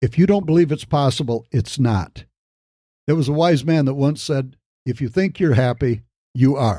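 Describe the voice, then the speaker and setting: A man with an American accent talks at a moderate pace and fairly high pitch, with ordinary pitch variation. His tone is dark, mellow and somewhat breathy. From Michigan, US Midwest. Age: 60s. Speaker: podcast host, business coach. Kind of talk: motivational podcast talk.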